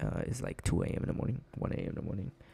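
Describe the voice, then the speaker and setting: A man talks at a fairly quick clip. His tone is dark and mellow, with vocal fry. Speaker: gaming streamer. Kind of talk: live stream game tutorial. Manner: fast.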